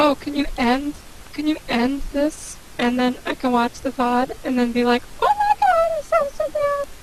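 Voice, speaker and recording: A woman speaks at a fairly slow pace in a high pitch with ordinary pitch variation. Noticeable background noise is present. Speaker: guest co-commentator. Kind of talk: casual chat. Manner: stuttering.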